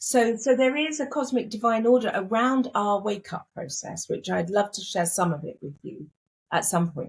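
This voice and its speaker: At a moderate pace, a woman speaks with a fairly high, somewhat breathy voice that makes very wide pitch swings. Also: big swings in loudness. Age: 60s. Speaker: spiritual teacher. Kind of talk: interview.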